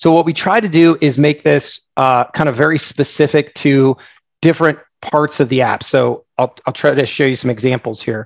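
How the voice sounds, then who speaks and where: A man with an American accent speaks in a normal speaking voice, fairly high in pitch with ordinary pitch variation. The sound is dry and close with no echo. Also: moderate pace, very even loudness. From Oregon, US. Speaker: software founder. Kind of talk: casual webinar talk, Q&A. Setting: online session with microphone. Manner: casual, humorous.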